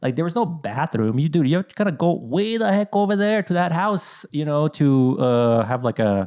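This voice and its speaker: Moderate pace with hardly any pauses, very wide pitch swings and very even loudness. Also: man, fairly high pitch for a man. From Bosnia, raised in Idaho from about age 10. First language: Bosnian. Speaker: content creator. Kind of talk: casual chat. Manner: halting, many fillers.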